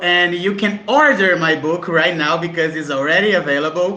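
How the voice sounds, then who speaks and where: There is audible room echo as a man with a Brazilian accent speaks at a moderate pace, his high-pitched voice bright and sharp in tone, with ordinary pitch variation. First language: Portuguese. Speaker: author. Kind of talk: casual panel chat.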